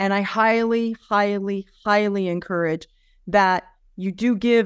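At a moderate pace and with fairly even intonation, a normal speaking voice comes through on a very clean recording with a silent background. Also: woman. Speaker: podcast host. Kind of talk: interview.

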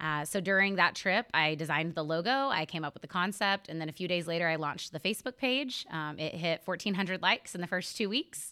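A woman speaks very fast with an American accent, her fairly low pitch carrying a bright, sharp tone and ordinary pitch variation. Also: hardly any pauses, very clean recording, silent background. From Northwest Oklahoma. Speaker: small business owner. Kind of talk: casual interview.

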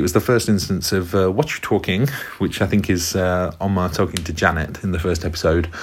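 Moderately paced speech from a man, very deep and low in pitch, with ordinary pitch variation. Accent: British. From UK. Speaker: former English teacher. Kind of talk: recorded monologue.

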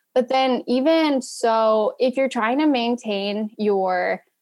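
Recorded very cleanly against a silent background, a woman talks in an ordinary speaking voice, fairly high in pitch with ordinary pitch variation. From rural Ohio, US Midwest. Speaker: software engineer. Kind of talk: interview.

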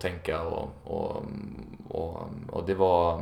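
A man speaks with audible room echo. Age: 20s. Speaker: youth football coach. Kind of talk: interview. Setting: apartment. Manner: halting, frequent repetitions.

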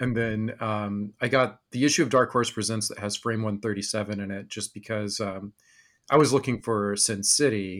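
In a very clean recording with a silent background, a man with an ordinary speaking voice talks at a moderate pace in a fairly low pitch, his intonation fairly even. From rural Texas and Wyoming. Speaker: podcast host. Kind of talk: casual interview chat.

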